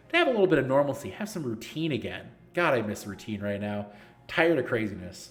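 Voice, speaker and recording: Through audible room echo, a man talks very fast with very wide pitch swings. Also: medium pitch for a man. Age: 30s. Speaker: esports league organizer and streamer. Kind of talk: live stream Q&A. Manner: casual, joking.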